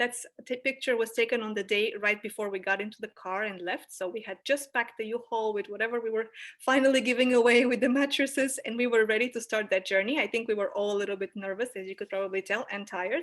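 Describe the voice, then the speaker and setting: A woman with a Bulgarian accent talks at a very fast pace with hardly any pauses. Her pitch is fairly high and her intonation fairly even. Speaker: anthropologist. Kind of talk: presentation. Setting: video call.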